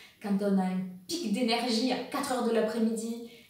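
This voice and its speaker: A woman talks with a fairly high pitch. Audible room echo surrounds her voice. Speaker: women's wellness coach. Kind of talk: educational video monologue.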